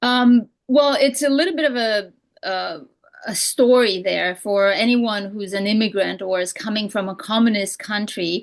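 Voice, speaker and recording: A woman with a Romanian accent, fairly high in pitch, with ordinary pitch variation and a moderate pace. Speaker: real estate broker and coach. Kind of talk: podcast interview. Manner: halting, many fillers.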